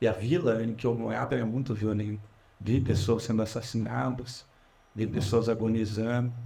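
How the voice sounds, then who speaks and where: Amid audible room echo, a man speaks at a medium pitch and moderate pace, with vocal fry, a dark, mellow tone and fairly even intonation. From Brazil, Curitiba. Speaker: politician. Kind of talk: public talk. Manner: casual, conversational.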